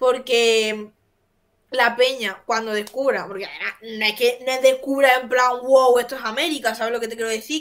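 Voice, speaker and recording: An animated woman with an Andalusian accent, fairly high in pitch, bright and sharp in tone, at a moderate pace. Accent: Andalusian (Jaén). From Jaén, Andalusia. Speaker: co-host. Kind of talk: casual chat. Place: home room.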